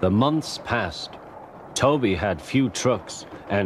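Reading done in an unforced voice

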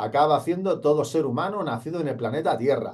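A man talks at a fairly quick pace in a dark, mellow tone that is somewhat breathy. The background is quiet. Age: 40s. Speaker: police exam coach. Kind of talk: motivational talk to camera. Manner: animated. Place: studio. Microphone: studio mic.

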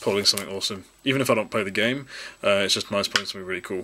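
A man's fairly low voice with fairly even intonation, amid noticeable background noise. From New Zealand. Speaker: YouTube Pokemon card collector and channel host. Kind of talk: casual video, unboxing card packs to camera. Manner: rambling, filler words, chatty. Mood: upbeat, excited. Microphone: phone near.

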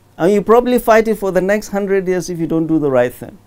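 Here is a man with a northern Nigerian accent and a high pitch. He talks at a very fast pace with lively intonation. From Nigeria, Katsina State. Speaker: professor of medicine and public commentator; professor of medicine, public commentator. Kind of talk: TV interview. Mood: earnest, persuasive. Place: studio. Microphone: lapel.

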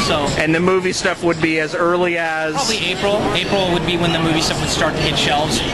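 A man talks very fast while loud noise fills the background. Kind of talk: interview answer. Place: hall. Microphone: phone near.

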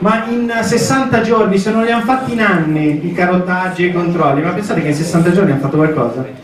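Hardly pausing, a high-pitched man speaks at a fairly quick pace with lively intonation and very even loudness, while background noise is noticeable. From northern Italy, Cusano Milanino near Milan. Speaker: member of parliament. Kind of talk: public speech at town square meeting. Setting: outdoor public square with audience.

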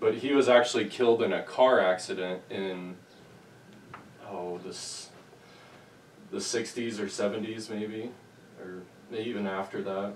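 A man with an American accent speaks at a moderate pace in a fairly low voice, with fairly even intonation, long and frequent pauses, big jumps in loudness, light background noise, and audible room echo. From Nebraska. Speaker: local history interviewer. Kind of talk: interview. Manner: halting. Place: home room. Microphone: camera far.

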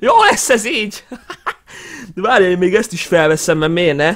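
A man speaks with a high-pitched voice. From Hungary. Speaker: YouTuber. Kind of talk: casual vlog commentary. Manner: animated. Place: home room. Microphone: headset.

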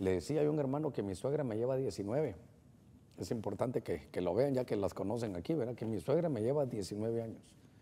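Speaking with a Honduran accent, a man uses a dark, mellow tone and lively intonation. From Honduras. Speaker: pastor hosting a call-in Bible program; pastor hosting a TV program. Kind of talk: call-in religious advice show. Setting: studio. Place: studio.

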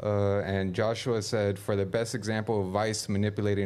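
Speaking at a fairly quick pace, a man uses a fairly low pitch and monotone, flat intonation. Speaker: producer reading chat. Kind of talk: reading aloud. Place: studio. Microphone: studio mic.

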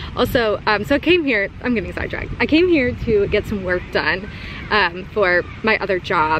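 A woman talks at a moderate pace over loud background noise, the sound dry with no echo. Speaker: vlogger. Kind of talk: casual vlog chat. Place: waterside. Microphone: phone near.

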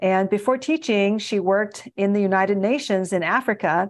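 The setting behind the voice is quiet. A woman talks with ordinary pitch variation. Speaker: podcast host. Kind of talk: interview introduction. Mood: warm, smiling. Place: office. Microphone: video call.

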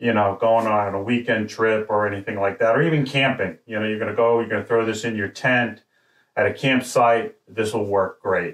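A man's intonation stays fairly even as he talks at a moderate pace, with the background quiet. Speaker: product reviewer. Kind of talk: product review talk. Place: studio.

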